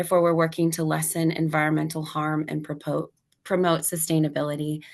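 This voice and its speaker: A woman's very deep, low, monotone voice at a fairly quick pace, against a quiet background. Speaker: nonprofit operations director. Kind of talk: webinar presentation.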